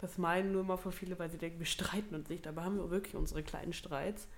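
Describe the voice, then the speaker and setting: A woman with an unremarkable speaking voice talks at a fairly quick pace, fairly low in pitch, with fairly even intonation. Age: 20s. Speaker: podcast co-host. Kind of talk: casual chat.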